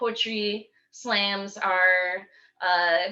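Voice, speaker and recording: Over a quiet background, a woman speaks in a Michigan accent at a medium pitch. Her tone is bright and sharp, with fairly even intonation. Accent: US Midwest (Michigan). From Michigan, Kalamazoo. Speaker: poet and youth teaching artist. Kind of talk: talk to a community meeting. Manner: halting, many fillers.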